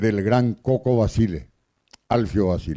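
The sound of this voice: Speaking slowly at a fairly low pitch, a man has a dark, mellow, clear and smooth tone with ordinary pitch variation.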